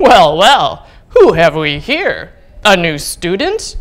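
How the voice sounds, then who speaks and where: A loud, booming put-on character voice, fairly high in pitch, at a very slow pace. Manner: jovial, welcoming.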